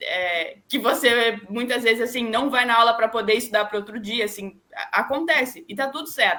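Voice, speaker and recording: A woman speaks with a fairly high pitch and ordinary pitch variation. Her tone is bright and sharp. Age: 20s. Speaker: radio and web reporter and producer, sports journalist. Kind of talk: interview answer. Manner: conversational, sincere.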